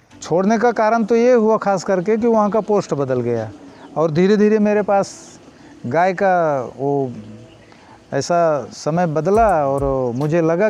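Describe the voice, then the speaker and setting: Against light background noise, a man with a high voice speaks fairly slowly with lively intonation in a dry recording with no echo. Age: 60s. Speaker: milkman. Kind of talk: interview answer. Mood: calm, reflective. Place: farm machine. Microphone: lapel.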